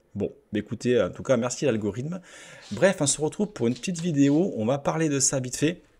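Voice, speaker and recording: A somewhat breathy man with a southwestern French accent talks fairly quickly at a fairly high pitch, his intonation lively. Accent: southwest French. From southwest France. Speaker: YouTuber, gaming channel host. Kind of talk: casual video commentary. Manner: hesitant, many fillers.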